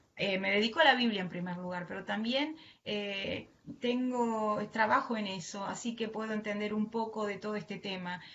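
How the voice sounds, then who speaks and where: With a strong Argentine accent, a woman speaks at a fairly high pitch and a moderate pace, using ordinary pitch variation, while audible echo fills the room. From Argentina. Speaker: preacher and mental health worker. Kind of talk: sermon. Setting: online live stream from home.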